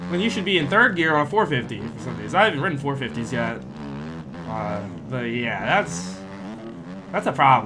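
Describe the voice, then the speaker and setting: Over background music, a man with a medium-pitched voice talks at a moderate pace, making very wide pitch swings and long, frequent pauses. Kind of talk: casual gameplay commentary. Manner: casual, hesitant.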